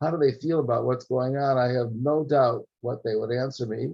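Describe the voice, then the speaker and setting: At a moderate pace, a man with an American accent speaks at a medium pitch, with ordinary pitch variation and a somewhat breathy sound. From US (New York). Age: 70s. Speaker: political science professor. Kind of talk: lecture. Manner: halting.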